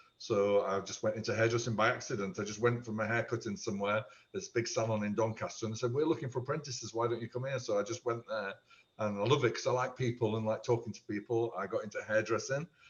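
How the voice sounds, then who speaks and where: This man sounds somewhat breathy and talks at a very fast pace. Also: medium pitch for a man, ordinary pitch variation. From South Yorkshire, England. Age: 60s. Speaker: amateur theatre performer and former hairdresser. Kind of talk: casual podcast interview. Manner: chatty, with frequent fillers.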